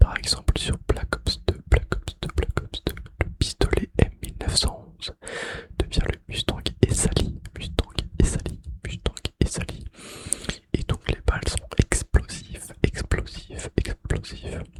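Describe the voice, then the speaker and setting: The whisper sounds dry and close with no echo, over noticeable background noise. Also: man, big swings in loudness. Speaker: ASMR creator. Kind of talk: ASMR gaming facts whispered while playing. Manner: whispered; repetitive trigger words.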